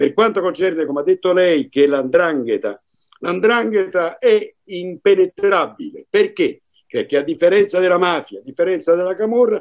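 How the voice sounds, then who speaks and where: A man talks at a moderate speed while the background stays quiet. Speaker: commentator, former law enforcement; panelist. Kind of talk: panel discussion. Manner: formal. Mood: earnest, indignant. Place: home room. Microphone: video call.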